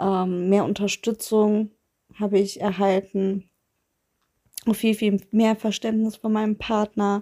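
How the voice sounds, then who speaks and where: In a very clean recording with a silent background and a dry, close sound with no echo, a woman speaks at a medium pitch and a very slow pace with a dark, mellow tone, a monotone, flat intonation, and long, frequent pauses. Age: 30s. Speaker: listener sharing experience. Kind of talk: testimony.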